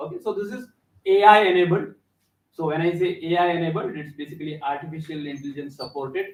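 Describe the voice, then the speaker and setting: A man with a high voice talks at a very fast pace. His pitch varies an ordinary amount while his loudness swings widely. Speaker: visiting company representative presenting an edtech product. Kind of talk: classroom presentation. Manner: hesitant, many fillers. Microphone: speaking without a microphone.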